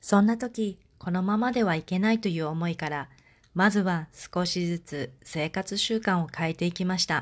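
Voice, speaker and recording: The speaker uses a normal speaking voice with ordinary pitch variation on a very clean recording with a silent background. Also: woman, medium pitch for a woman, moderate pace. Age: 40s. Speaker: podcast host and life coach. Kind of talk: scripted monologue.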